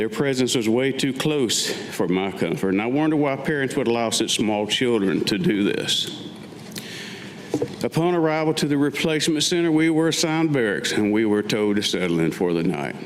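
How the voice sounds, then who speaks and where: A man speaks at a moderate pace and medium pitch, with very wide pitch swings. His loudness stays very even over noticeable background noise. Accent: American. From Western North Carolina. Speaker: Vietnam war veteran. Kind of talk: staged reading of own memoir. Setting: live stage.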